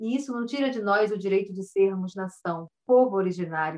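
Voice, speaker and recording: A woman with an ordinary speaking voice talks at medium pitch. Her pace is fairly quick and her pitch variation ordinary. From Alto Solimões, Amazonas, Brazil. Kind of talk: interview.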